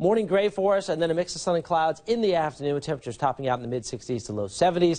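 The voice has a dark, mellow tone and an upbeat tone. The background is quiet. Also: man. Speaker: TV meteorologist. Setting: TV studio. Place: studio. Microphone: lapel.

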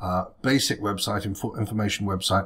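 Somewhat breathy speech with fairly even intonation over a quiet background. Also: man. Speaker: web design tutor. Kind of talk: tutorial. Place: home room.

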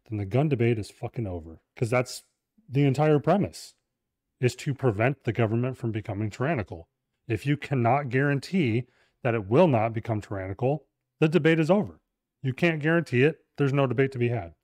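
A man's fairly quick, lively-toned speech, dry with no echo, against a quiet background. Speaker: podcast host. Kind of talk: casual podcast chat. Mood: animated, opinionated. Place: studio. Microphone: studio mic.

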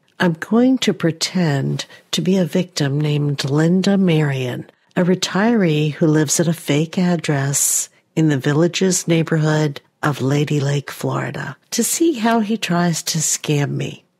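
A somewhat breathy woman's voice, very deep and low in pitch, at a fairly slow pace with ordinary pitch variation. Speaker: YouTuber. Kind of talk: video narration.

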